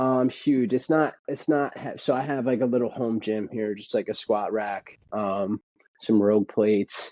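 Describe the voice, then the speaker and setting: Medium in pitch and dark, mellow in tone, a man speaks in an American accent with ordinary pitch variation. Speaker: runner in addiction recovery. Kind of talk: casual interview.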